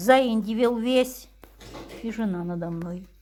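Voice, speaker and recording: A woman's fairly high voice with lively intonation at a very slow pace. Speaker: amateur reader. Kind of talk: reading aloud. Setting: by the fireplace at home. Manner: expressive.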